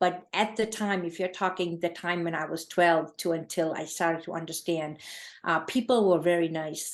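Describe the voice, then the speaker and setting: Speech comes at a moderate pace with fairly even intonation. The accent is Gujarati. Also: woman. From India (Gujarat), moved to New England at 12. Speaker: charity founder. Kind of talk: interview. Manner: halting, many fillers.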